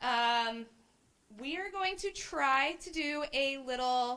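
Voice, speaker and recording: The voice is raised and projected, with a bright, sharp tone and very wide pitch swings. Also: woman. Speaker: committee member presenting at a business forum. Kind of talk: interactive workshop presentation. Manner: loud.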